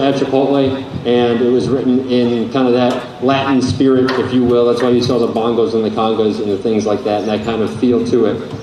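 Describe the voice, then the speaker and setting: Amid noticeable background noise and audible room echo, a man talks at a moderate pace with very even loudness and fairly even intonation. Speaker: band director. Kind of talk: concert announcements. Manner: casual, halting.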